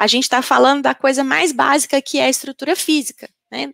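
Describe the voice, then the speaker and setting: Recorded with a dry, close sound and no echo, a woman speaks in a Minas Gerais accent. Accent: Minas Gerais (mineiro). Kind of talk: panel discussion answer.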